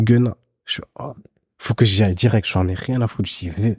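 A man speaks at a moderate pace with a dark, mellow tone, somewhat breathy. The sound is dry and close with no echo. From Belgium. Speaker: photographer. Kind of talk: casual chat.

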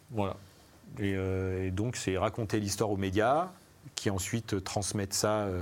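Pausing long and often, a man at a fairly low pitch speaks at a fairly slow pace with fairly even intonation and very even loudness. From Savoie, France. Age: 40s. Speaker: music industry artistic director. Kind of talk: live panel interview. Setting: live event with audience, streamed.

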